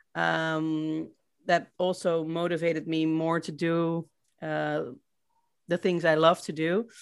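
On a very clean recording with a silent background, a woman with a Dutch accent speaks very slowly in a fairly low, monotone, flat voice broken by long, frequent pauses. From Netherlands, Rotterdam. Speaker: remote-working traveler. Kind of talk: interview, casual chat. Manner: hesitant, many fillers.

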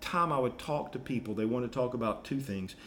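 With ordinary ups and downs in pitch, a plain, everyday voice does the talking. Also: man. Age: 60s. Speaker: podcast host, life coach. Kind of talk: casual teaching chat.

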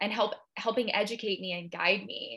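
A woman with a West Coast US accent, bright and sharp in tone, at a medium pitch with ordinary pitch variation and a moderate pace. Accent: General American, West Coast. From Seattle, US Pacific Northwest. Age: 20s. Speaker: holistic health coach and yoga instructor. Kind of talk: casual interview chat.

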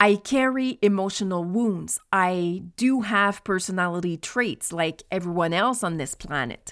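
Heard in a very clean recording with a silent background, a woman speaks fairly slowly at medium pitch, with ordinary pitch variation and hardly any pauses. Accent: Quebec. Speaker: ADHD coach and podcast host. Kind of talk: solo podcast monologue.

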